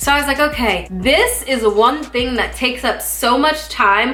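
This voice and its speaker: A woman's raised, projected voice at a high pitch, with audible room echo and music in the background. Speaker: YouTuber. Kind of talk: casual chat.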